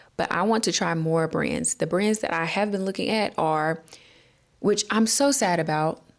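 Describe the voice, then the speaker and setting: Here a woman speaks with a Southern US accent at a moderate pace. Her pitch variation is ordinary, and the recording is very clean with a silent background. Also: medium pitch for a woman. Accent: Southern American English. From North Carolina, USA. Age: 20s. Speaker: hair care vlogger. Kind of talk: casual talk to camera. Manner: upbeat, chatty.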